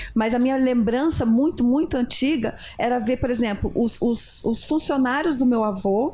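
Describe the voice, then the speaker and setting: Her voice high-pitched but dark and mellow in tone, a woman speaks at a moderate pace with ordinary pitch variation, hardly any pauses and very even loudness. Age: 40s. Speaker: TV talk show co-host. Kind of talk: TV talk show interview.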